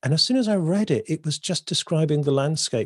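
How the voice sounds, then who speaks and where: Against a quiet background, a man with a fairly high pitch and very wide pitch swings speaks at a moderate pace, the sound dry and close with no echo. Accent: English. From southern England, North Devon. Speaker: poet and creative coach. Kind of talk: interview conversation.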